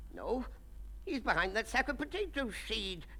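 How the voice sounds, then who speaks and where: A female-sounding voice performs a put-on character voice over clear background noise. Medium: read story. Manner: angry, blustering.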